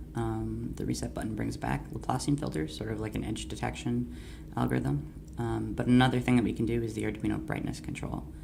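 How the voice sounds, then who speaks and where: A man with a very deep, low pitch talks at a fairly quick pace with hardly any pauses. His intonation stays fairly even under noticeable background noise. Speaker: university engineering student. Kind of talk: screen-recorded software demo walkthrough. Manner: casual, hesitant with many fillers.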